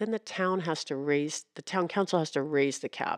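Recorded with a dry, close sound over a quiet background, a woman with an ordinary speaking voice talks at a fairly quick pace, fairly low in pitch with ordinary pitch variation. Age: 60s. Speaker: local news reporter and podcast host. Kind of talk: casual chat; interview.

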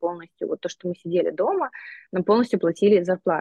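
At a very fast pace, a woman talks in a medium-pitched voice. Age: 30s. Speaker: astrologer and life coach. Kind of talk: casual chat. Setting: phone video call. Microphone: phone on mobile internet.

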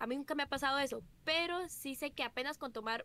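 With noticeable background noise around her, a woman uses a raised, projected voice at a high pitch. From Costa Rica. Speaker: streamer. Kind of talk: casual chat.

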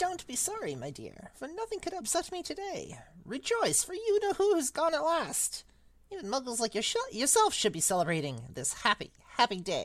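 In a put-on character voice, the speaker sounds squeaky at a high pitch and a moderate pace. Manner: gleeful, excited.

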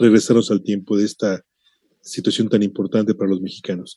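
The man's tone is dark and mellow. The sound is dry and close, with no echo. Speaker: radio host. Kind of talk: radio interview.

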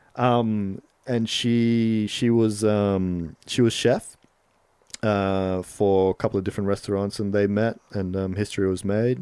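In an American accent, a man speaks at a fairly slow pace with a fairly low pitch, a dark, mellow tone and fairly even intonation. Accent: Australian with a slight American twang. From Solomon Islands. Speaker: videographer and rapper. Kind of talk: casual interview chat. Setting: studio.

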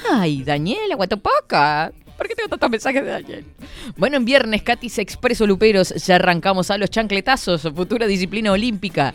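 A woman talks at a fairly quick pace with lively intonation and a medium pitch. Noticeable background noise runs underneath. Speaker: radio host. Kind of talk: casual chat. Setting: studio. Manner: animated.

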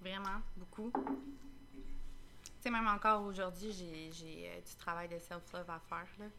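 Speaking very slowly in a Quebec accent, a woman uses a medium pitch, a bright, sharp tone, lively intonation and big swings in loudness. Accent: Québécois French. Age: 20s. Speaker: school custodian. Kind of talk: casual chat. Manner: halting. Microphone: too far from the mic.

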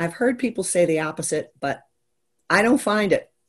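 With an American accent and an ordinary speaking voice, a woman talks at a fairly quick pace with lively intonation over a quiet background. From Maryland, US. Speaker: business strategist. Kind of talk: interview chat.

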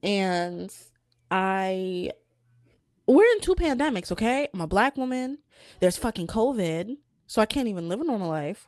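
This woman has a medium pitch, a moderate pace and lively intonation, broken by long, frequent pauses. The sound is dry and close with no echo, and the recording is very clean over a silent background. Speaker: podcast co-host. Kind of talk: casual chat.

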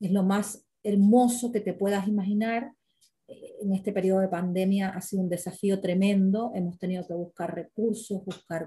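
A woman's medium-pitched voice, dark and mellow and somewhat breathy, moves at a moderate pace in a flat monotone. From Cuba (Cienfuegos, Trinidad). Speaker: writer and teacher. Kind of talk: interview conversation. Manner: halting, many fillers.

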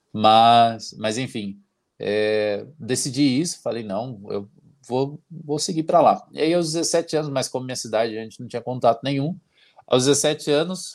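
Recorded very cleanly against a silent background, a man speaks at a moderate pace and medium pitch with ordinary pitch variation. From Paraná, Brazil. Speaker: flight attendant. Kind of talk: casual interview. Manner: energetic.

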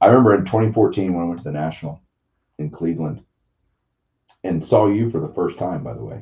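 A man's very deep, low voice with vocal fry, lively intonation, big swings in loudness, a fairly quick pace and long, frequent pauses. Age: 40s. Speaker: podcast host, card collector. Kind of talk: casual chat.

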